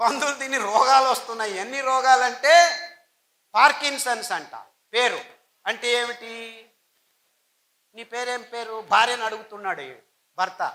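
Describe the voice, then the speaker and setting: Raising and projecting his voice, a man speaks at an extremely high pitch with big swings in loudness. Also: ordinary pitch variation. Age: 60s. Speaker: health speaker. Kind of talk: public speech. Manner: emphatic.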